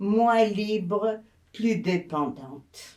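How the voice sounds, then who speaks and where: A woman's fairly high voice with a dark, mellow tone, very slow and with ordinary pitch variation. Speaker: elderly interviewee. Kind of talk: interview.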